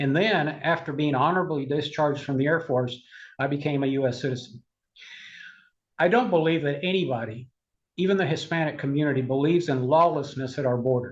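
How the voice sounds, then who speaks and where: A somewhat breathy man with a fairly high pitch, ordinary pitch variation and a fairly quick pace. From Cuba. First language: Spanish. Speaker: conservative political advocate. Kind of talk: interview.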